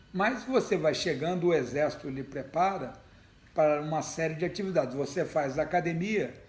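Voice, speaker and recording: Room echo can be clearly heard. The speaker's intonation is lively. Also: man. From Brazil, Ribeirão Preto (São Paulo state). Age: 60s. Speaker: retired army general and politician. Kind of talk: interview.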